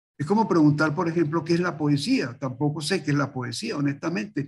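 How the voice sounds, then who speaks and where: The recording is very clean, with a silent background. A man speaks in a somewhat breathy, fairly high voice. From Venezuela. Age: 80s+. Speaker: multimedia artist. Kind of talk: interview. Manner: animated.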